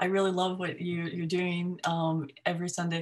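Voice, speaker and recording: Speaking at a moderate pace with an American accent, a woman holds a fairly low pitch in a monotone, flat intonation. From US, upstate New York. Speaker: academic geographer. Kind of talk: informal talk to a discussion group.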